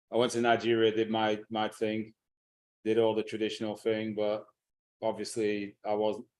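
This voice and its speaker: A man's fairly low, monotone voice with flat intonation and a Lancashire accent, on a very clean recording with a silent background. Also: moderate pace. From northern England, Blackburn, Lancashire. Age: 60s. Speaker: teacher and speaker on African history. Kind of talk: interview. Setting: live stream.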